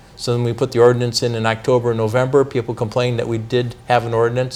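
Flat and monotone, a man's medium-pitched voice races along at a very fast pace. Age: 60s. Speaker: city council member. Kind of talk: interview.

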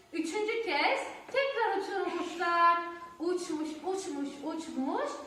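Strong room echo surrounds a woman who speaks slowly in an extremely high voice with a bright, sharp tone. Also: ordinary pitch variation.

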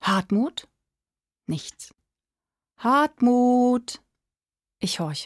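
A soft-spoken, somewhat breathy woman with lively intonation against a quiet background. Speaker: emerging voice actor / audiobook reader. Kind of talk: audiobook reading of a prose story. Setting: home studio. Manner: quiet, intimate, soft-spoken. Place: studio.

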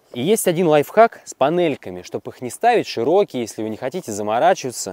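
A man's very fast speech, fairly high in pitch, with a dark, mellow tone, very wide pitch swings and a dry sound with no echo. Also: big swings in loudness. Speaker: video blogger reviewing electric unicycles; unicycle rider reviewer. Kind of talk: casual product review vlog. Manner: animated. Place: forest.

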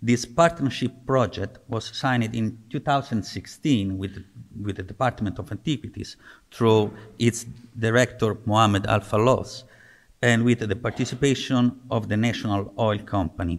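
A man at a moderate pace, ordinary pitch variation and a quiet background. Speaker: presenter. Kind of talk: conference talk. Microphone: podium.

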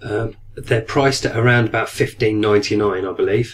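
A man's somewhat breathy, fairly low-pitched voice at a moderate pace. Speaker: aquarium hobbyist video maker. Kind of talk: product review. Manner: hesitant, many fillers.

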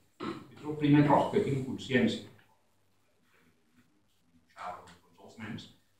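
There is light background noise and audible room echo as a man speaks at a fairly slow pace. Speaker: poet. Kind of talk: poet's spoken introduction to his poems. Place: stage. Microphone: camera far.

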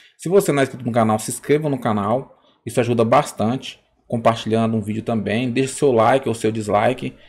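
Here a man speaks fairly quickly at a medium pitch, with a normal speaking voice. His pitch varies in an ordinary way. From Brazil. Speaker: YouTuber, political commentator. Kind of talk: casual vlog intro. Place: home room. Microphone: studio mic.

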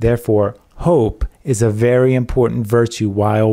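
Recorded very cleanly against a silent background, a man speaks at a fairly slow pace. His tone is dark, mellow and warm. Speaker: preacher. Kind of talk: sermon. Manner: earnest, teaching, reassuring; measured, warm, pastoral.

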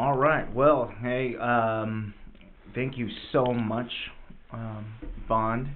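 Against light background noise, a man at medium pitch speaks very slowly in a monotone, flat way with long, frequent pauses. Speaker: podcast co-host. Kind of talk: scripted intro and sponsor read. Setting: studio. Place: studio.

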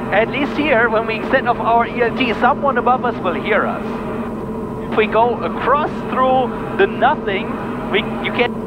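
With loud background noise behind him, a man speaks at a fairly slow pace with long, frequent pauses, the sound dry with no echo. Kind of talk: casual cockpit chat. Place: plane. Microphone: headset.

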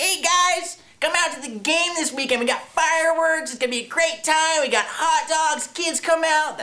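This is a squeaky, high-pitched, put-on character voice. It moves at a moderate pace with hardly any pauses. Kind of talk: announcer. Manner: cheery, promotional.

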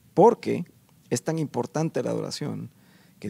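There is ordinary pitch variation as this man talks. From Guatemala. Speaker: guest worship leader. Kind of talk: interview. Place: studio. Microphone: handheld.

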